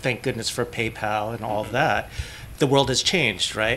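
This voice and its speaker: At a moderate pace, a man talks at medium pitch with ordinary pitch variation in an ordinary speaking voice, light background noise behind him. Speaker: AR developer; panelist. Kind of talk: convention panel discussion. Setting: stage with audience. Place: meeting room. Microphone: podium.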